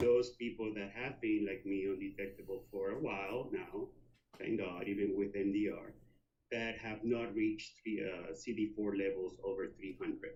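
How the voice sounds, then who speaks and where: Audible room echo surrounds a man whose somewhat breathy voice moves at a moderate pace with fairly even intonation. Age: 60s. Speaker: HIV activist and long-term survivor. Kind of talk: conference presentation. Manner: hesitant, many fillers.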